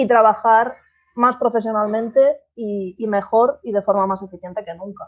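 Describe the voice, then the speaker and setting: A woman's normal speaking voice, at a moderate pace with fairly even intonation. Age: 30s. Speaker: marketing consultant. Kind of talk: interview conversation.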